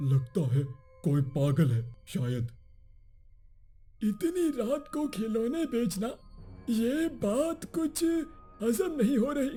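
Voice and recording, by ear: In a cartoonish character voice, a man talks at a very slow pace with an extremely high pitch for a man and very wide pitch swings, while faint music plays in the background.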